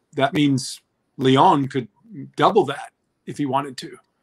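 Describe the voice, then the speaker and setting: A man speaks at a fairly high pitch. The background is quiet. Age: 50s. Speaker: former Olympic swimmer; swimming commentator guest. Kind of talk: live sports commentary chat. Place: home room. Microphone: webcam.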